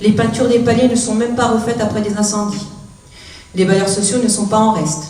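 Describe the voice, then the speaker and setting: Amid noticeable background noise and audible room echo, a woman speaks at a fairly high pitch in a monotone, flat intonation. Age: 40s. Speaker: youth outreach worker and activist. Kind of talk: prepared public speech.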